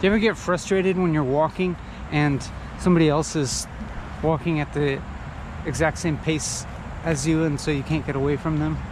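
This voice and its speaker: A man's fairly high voice, fairly quick yet broken by long, frequent pauses, fairly even in intonation, against noticeable background noise. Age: 30s. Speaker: solo podcaster, philosophical vlogger. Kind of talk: casual philosophical monologue while walking. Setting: outdoors, walking. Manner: halting, many fillers and repetitions.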